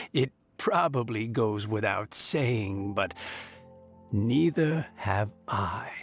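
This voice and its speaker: A man's put-on character voice at medium pitch and a very slow pace, over faint background music. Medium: video game. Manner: calm, soothing.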